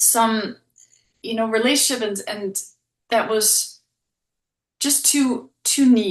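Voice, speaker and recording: A woman with a Danish accent talks at a very slow pace, her fairly high pitch showing ordinary variation. Long pauses come often. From Denmark. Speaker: relationship coach and psychotherapist. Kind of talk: podcast interview.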